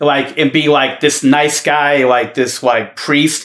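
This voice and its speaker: Monotone, flat intonation with a Boston accent, in a very clean recording with a silent background. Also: man. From Boston, US. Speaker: basketball podcast co-host. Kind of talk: casual chat.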